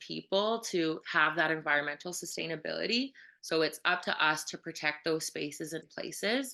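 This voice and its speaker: A bright, sharp tone at a moderate pace, with ordinary pitch variation and a quiet background. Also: woman. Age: 30s. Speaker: kindergarten teacher. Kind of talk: panel presentation.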